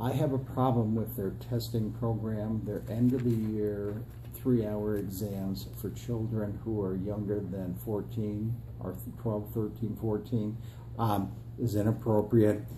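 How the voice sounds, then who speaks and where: Somewhat breathy and dark, mellow in tone, the voice has fairly even intonation and an American accent, with audible echo from the room. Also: man, fairly low pitch for a man. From upstate New York (Adirondacks). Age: 60s. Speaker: political candidate, retired school superintendent. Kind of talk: interview. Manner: hesitant fillers.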